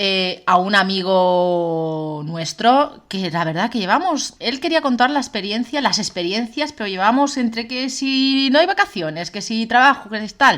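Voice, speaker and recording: Loud and fairly slow, a woman speaks with very wide pitch swings. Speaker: podcast co-host. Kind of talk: casual chat.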